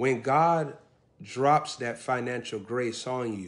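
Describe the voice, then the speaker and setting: This is a man speaking. His pitch varies in an ordinary way. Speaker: preacher. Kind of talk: sermon. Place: home room. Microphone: phone near.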